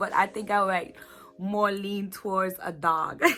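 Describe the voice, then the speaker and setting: With a Virgin Islands accent, a woman speaks at a fairly slow pace in a bright, sharp tone. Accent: Virgin Islands Caribbean. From US Virgin Islands, Saint Thomas. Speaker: YouTuber. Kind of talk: casual vlog Q&A. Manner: casual, chatty.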